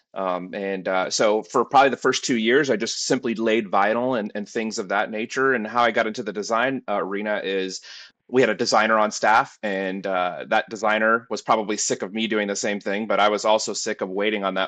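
A man speaks with a bright, sharp tone at a fairly low pitch. His pace is fairly quick with hardly any pauses, over a quiet background. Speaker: sign design team director. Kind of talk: casual interview. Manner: halting.

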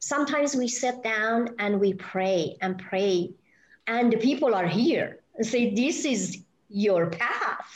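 Speaking very slowly with a Persian accent, a woman uses a fairly high pitch, lively intonation and very even loudness. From Iran. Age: 60s. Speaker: spiritual healer and hypnotherapist. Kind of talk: casual interview. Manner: halting, many fillers.

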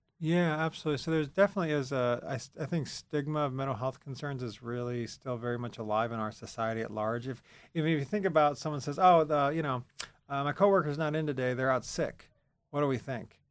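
Very fast speech from a man with an American accent, fairly high in pitch with ordinary pitch variation, over a quiet background. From central Pennsylvania, rural. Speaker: university counseling center director. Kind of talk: interview.

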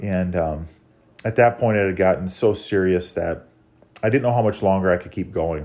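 Speaking at a moderate pace with fairly even intonation, a man with an Upper Midwest accent has a very deep, low voice. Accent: Upper Midwest American. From Minnesota, small town. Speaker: church member sharing testimony. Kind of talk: testimony.

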